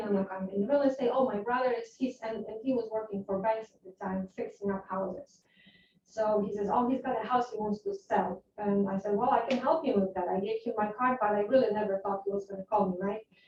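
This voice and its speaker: Talking at a fairly quick pace with hardly any pauses, a woman with a Polish accent has a fairly high pitch, fairly even intonation and big swings in loudness. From Poland. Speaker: real estate agent. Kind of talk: interview. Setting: class with agents.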